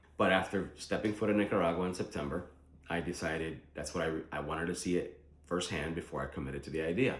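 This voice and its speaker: Audible room echo fills the very fast speech, which has ordinary pitch variation. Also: man. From Philadelphia, US (Puerto Rican born). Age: 40s. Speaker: vlogger planning to move abroad. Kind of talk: casual vlog monologue. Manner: conversational with frequent fillers.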